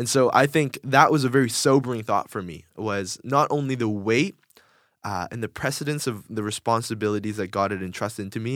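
A man talks in a normal speaking voice at a fairly quick pace. His pitch is medium with ordinary variation, on a very clean recording with a silent background. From Korea, moved to US at five. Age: 20s. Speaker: youth pastor. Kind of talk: casual interview. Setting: studio.

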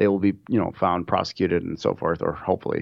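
Someone with an American accent talks at a fairly quick pace. The background is quiet. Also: man. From Minnesota, US Midwest. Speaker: insurance underwriter. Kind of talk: interview. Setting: studio.

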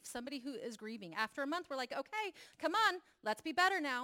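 On a very clean recording with a silent background, a woman speaks at a fairly quick pace with very wide pitch swings. Her tone is bright and sharp, and the sound is dry and close with no echo. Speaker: church leader and mental health advocate. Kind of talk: testimony.

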